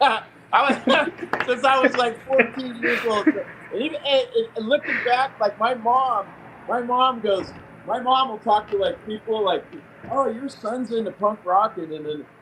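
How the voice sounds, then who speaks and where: A man with an American accent speaks at an extremely high pitch and a moderate pace, with ordinary pitch variation. Noticeable background noise runs underneath. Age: 50s. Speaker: punk rock musician. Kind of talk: radio interview. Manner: halting.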